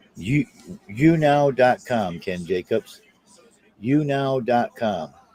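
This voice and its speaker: A man with an American accent speaks very slowly at medium pitch, with lively intonation. The sound is dry and close with no echo, with music in the background. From South Boston. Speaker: live streamer. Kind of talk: casual chat. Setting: live stream.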